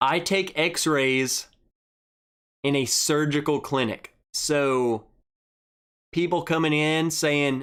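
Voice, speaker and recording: Fairly even intonation in a Southern US accent, at a very slow pace with long, frequent pauses, in a very clean recording with a silent background. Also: man, fairly high pitch for a man. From Arkansas. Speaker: whiskey livestream host. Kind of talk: casual chat. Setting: livestream.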